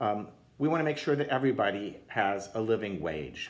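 A man speaks at a moderate pace with a fairly low pitch. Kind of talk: conference talk. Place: home room. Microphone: phone near.

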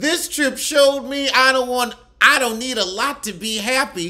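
A man drawling in a raised, projected voice with an animated tone, against a quiet background. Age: 30s. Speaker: comedian. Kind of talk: reality TV roast commentary, mocking cast members' looks and voices. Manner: sassy, campy drawl with rhetorical questions; animated, exclamatory outbursts. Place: home room. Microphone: phone near.

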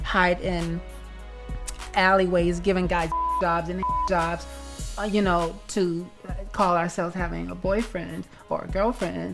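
Clear music plays in the background as a woman speaks at a fairly slow pace, with long, frequent pauses. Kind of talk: interview answer. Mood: earnest, reflective. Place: home room.

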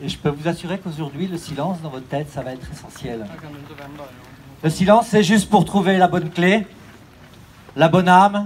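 Lively intonation marks this man's speech. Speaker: race announcer. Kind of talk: solemn speech. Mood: solemn, poetic, reflective. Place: street. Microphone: pa.

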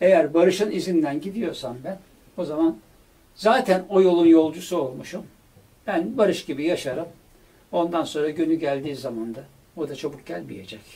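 Speaking at a moderate pace, a man with a high pitch and a dark, mellow tone uses lively intonation and big swings in loudness. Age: 70s. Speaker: producer and director, longtime friend of a late musician; interviewee. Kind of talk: interview conversation. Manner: halting with filler sounds. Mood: reflective, heartfelt remembrance. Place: studio.

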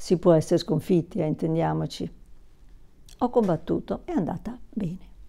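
The voice moves at a moderate pace with vocal fry and ordinary pitch variation. Long, frequent pauses break up the speech. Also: woman, fairly low pitch for a woman. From southern Italy, Naples; southern Italy. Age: 60s. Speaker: YouTuber. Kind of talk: personal vlog monologue. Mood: warm, reflective. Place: home room. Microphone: lapel.

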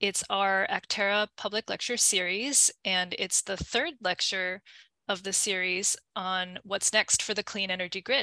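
A woman's bright, sharp tone in a dry sound with no echo, against a quiet background. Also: fairly even intonation, fairly slow pace. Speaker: lecture host. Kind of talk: event introduction. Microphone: video call.

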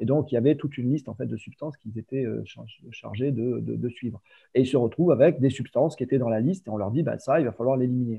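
A man talking at a very fast pace with ordinary pitch variation, against a quiet background. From Provence, France. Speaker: water industry business developer, chemist. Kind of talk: interview conversation. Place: home room. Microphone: video call.

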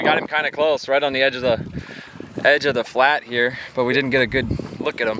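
A man's voice comes through dry with no echo. Noticeable background noise is present. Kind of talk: casual vlog chat. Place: waterside. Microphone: phone near.

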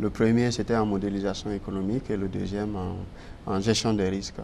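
Over light background noise, a man with a fairly low pitch speaks in a dark, mellow tone and a flat, monotone intonation. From Guinea. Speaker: newcomer, finance professional. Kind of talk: TV interview. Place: studio. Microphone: lapel.

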